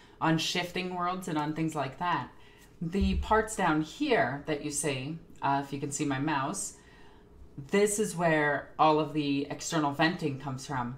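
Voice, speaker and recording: A woman with a very deep, low pitch, ordinary pitch variation and a moderate pace. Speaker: streamer reacting to a video. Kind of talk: commentary. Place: home room.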